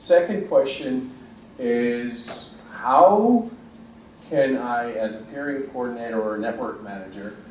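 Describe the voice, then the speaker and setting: The voice moves at a very slow pace with lively intonation and big swings in loudness. Audible room echo and noticeable background noise are present. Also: man, medium pitch for a man. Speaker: audience member, network operator. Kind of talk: audience question.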